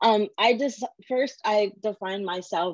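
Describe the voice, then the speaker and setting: In a dry, close sound with no echo, a woman speaks at a very slow pace with ordinary pitch variation. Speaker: design educator. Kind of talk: interview.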